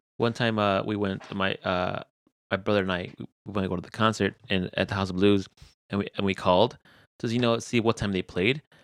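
Fairly quick speech with fairly even intonation, a quiet background and a dry, close sound with no echo. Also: man, fairly low pitch for a man. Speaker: podcast host. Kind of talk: casual chat; heartfelt closing message. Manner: mumbling.

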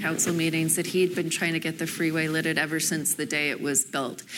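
Her voice is a normal speaking voice, fairly low for a woman, with fairly even intonation. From Canada, Toronto. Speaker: real estate developer. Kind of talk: panel discussion. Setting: stage with audience.

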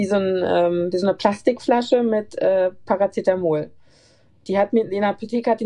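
A woman with a dark, mellow tone speaks with big swings in loudness. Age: 30s. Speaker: nurse. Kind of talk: casual interview. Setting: remote call.

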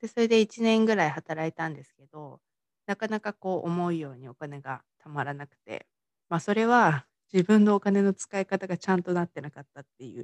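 In a very clean recording with a silent background and a dry, close sound with no echo, a woman with an unremarkable speaking voice talks at a fairly quick pace and fairly low pitch, her loudness swinging widely. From Tochigi, Japan. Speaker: mindset coach and podcaster. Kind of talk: solo podcast monologue. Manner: casual, many fillers. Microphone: work laptop, may be hard to hear.

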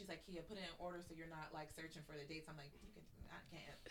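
A woman with a fairly low pitch talks at a very fast pace. Audible room echo surrounds her voice. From western Pennsylvania (Pittsburgh area). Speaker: podcast co-host. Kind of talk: casual chat.

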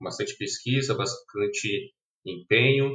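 Bright and sharp in tone, a man's voice keeps a moderate pace. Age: 30s. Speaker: front-end developer. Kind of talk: casual chat. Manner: halting.

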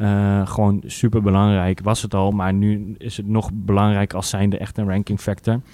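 At a moderate pace, a man speaks in a fairly low, dark and mellow tone with monotone, flat intonation. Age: 20s. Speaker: digital marketer. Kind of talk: casual chat.

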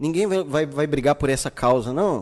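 A man talks with lively intonation. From Brazil, Santa Cruz periphery. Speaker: podcast host. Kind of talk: casual chat. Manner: animated.

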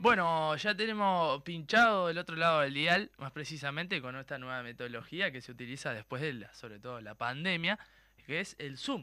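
Big swings in loudness mark a man's bright, sharp, lively speech at a moderate pace in a very clean recording with a silent background. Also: fairly high pitch for a man. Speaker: radio host. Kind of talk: casual chat.

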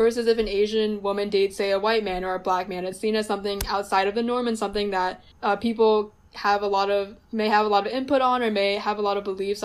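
Someone with an American accent speaks very fast in a monotone, flat delivery. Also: woman. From US, New Jersey. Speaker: recent college graduate. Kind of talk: casual chat.

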